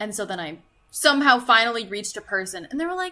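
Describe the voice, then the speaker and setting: A woman's fairly high, lively voice at a fairly quick pace, a normal speaking voice. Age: 20s. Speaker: gaming streamer. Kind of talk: casual live stream chat.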